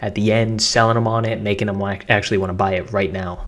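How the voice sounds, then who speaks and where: Energetic and very fast, a man talks with an American accent. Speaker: online marketing content creator. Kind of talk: tutorial. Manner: casual, energetic.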